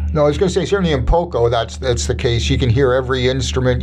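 With music in the background, a man talks with a Canadian accent. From Winnipeg, Canada. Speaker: radio host. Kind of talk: interview.

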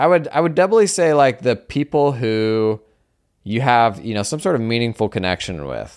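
Speaking at a fairly quick pace, a man with a medium pitch makes very wide pitch swings. The recording is very clean against a silent background. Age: 30s. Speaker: accounting podcast host. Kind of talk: casual solo monologue.

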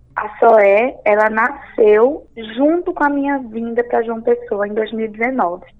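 Noticeable background noise sits behind a woman speaking at a very slow pace. Her voice is fairly high, with ordinary pitch variation. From Pernambuco, Brazil (Recife area). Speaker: entrepreneur and journalist. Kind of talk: interview.

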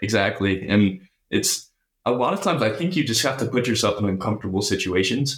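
On a very clean recording with a silent background, a man with a medium-pitched, somewhat breathy voice talks at a fairly quick pace, using lively intonation while keeping his loudness very even. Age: 20s. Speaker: finance student. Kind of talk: interview.

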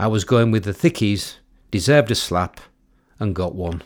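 A man with an East Yorkshire accent speaks at a fairly low pitch in a very clean recording with a silent background. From East Yorkshire, Cottingham near Hull. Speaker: memoir author narrating own book. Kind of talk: audiobook reading of a memoir.

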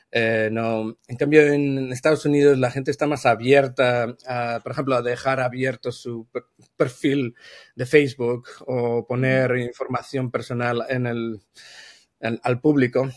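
A man's medium-pitched, monotone voice with flat intonation, at a fairly slow pace, dry and close with no echo. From Spain. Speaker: brand consultant. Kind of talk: casual interview.

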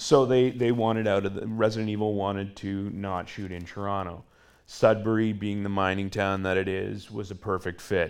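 With a Canadian accent, the speaker holds a moderate pace in a monotone, flat delivery. Audible room echo is present. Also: man, fairly low pitch for a man. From Northern Ontario, Canada. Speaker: film key grip. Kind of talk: live interview. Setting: theatre stage with live audience.

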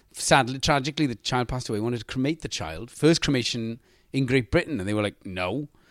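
A man with a Welsh accent talks at a very fast pace at medium pitch with ordinary pitch variation, in a dry, close sound with no echo and a very clean recording over a silent background. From Wales. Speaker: actor. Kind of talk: casual chat.

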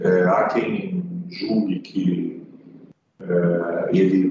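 A man speaks over noticeable background noise. Room echo is audible. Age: 60s. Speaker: economist. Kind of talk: interview. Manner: hesitant, with frequent fillers.

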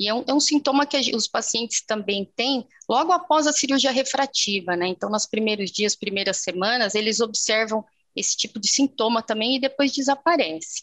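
A woman's unremarkable speaking voice, fairly high-pitched with lively intonation at a moderate pace, in a dry, close sound with no echo. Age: 40s. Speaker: ophthalmologist. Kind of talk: interview.

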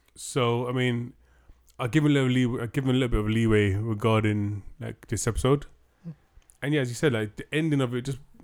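Here a man with a British accent talks at a fairly quick pace, at a medium pitch with ordinary pitch variation. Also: long, frequent pauses. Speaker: podcast host. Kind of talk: casual chat.

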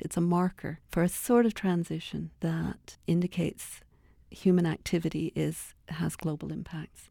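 This very clean recording has a silent background. In it, a woman speaks at a fairly slow pace. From Toronto, Canada. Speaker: poet. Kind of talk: interview.

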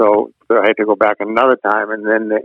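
A man speaks at a moderate pace. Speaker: Air Force veteran. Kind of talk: casual chat. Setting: phone call.

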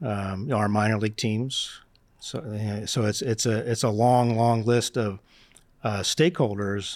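Recorded very cleanly over a silent background, a normal speaking voice with an American accent keeps fairly even intonation. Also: man. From Northeast Philadelphia. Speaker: sports team finance executive. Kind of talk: interview.

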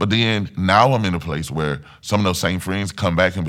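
Over a very clean, silent background, a man with vocal fry speaks at a moderate pace with ordinary pitch variation. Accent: Mississippi. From US South, Mississippi. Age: 30s. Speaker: church singer and testimony guest. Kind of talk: personal testimony. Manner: hesitant, many fillers.

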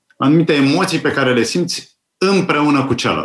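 A man talks at a fairly slow pace in a plain, everyday voice. His pitch is fairly high, with ordinary variation.

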